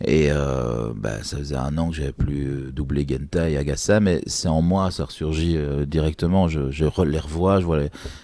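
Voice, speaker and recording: The speech moves at a fairly slow pace with hardly any pauses and ordinary pitch variation, over noticeable background noise. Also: man, very deep, low pitch for a man. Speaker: voice actor. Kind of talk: interview. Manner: halting.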